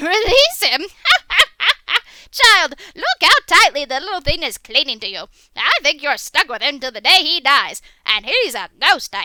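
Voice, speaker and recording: With a put-on character voice at an extremely high pitch, the speaker swings very widely in pitch, moving at a moderate pace with long, frequent pauses. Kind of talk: audio drama dialogue.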